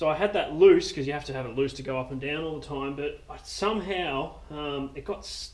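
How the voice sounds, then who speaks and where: Amid light background noise, a man speaks at a moderate pace with ordinary pitch variation. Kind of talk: tutorial. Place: farm machine. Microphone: phone near.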